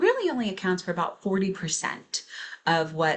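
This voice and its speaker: The speech moves at a moderate pace with noticeable background noise beneath it. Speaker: speech language pathologist. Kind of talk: lecture.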